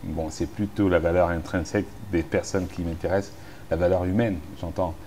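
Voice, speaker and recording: A man speaks at a moderate pace. His pitch is very deep and low, and his intonation monotone and flat. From Cameroon, Douala. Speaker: musician and musicologist. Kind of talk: interview. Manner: relaxed; hesitant, many fillers.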